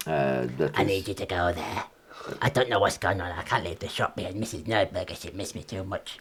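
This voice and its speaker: A man in a put-on character voice, very deep and low in pitch. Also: moderate pace. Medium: actual play. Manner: fast, wheedling salesman patter.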